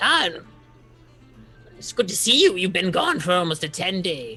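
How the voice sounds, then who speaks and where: The speaker uses a put-on character voice at a middle pitch and a moderate pace, with faint music playing in the background. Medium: actual play. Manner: guarded, skeptical toward strangers.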